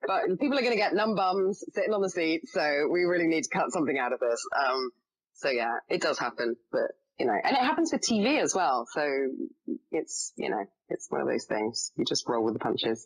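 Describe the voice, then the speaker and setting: A woman talks at a fairly quick pace with an English accent and very even loudness. The sound is dry and close, with no echo. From England. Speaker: actress. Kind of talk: podcast interview, casual chat. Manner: chatty, many fillers.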